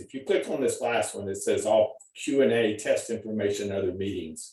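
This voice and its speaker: At a fairly slow pace, a man talks with a Texas accent. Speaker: college nutrition professor. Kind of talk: lecture. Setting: video call. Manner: halting, repetitive.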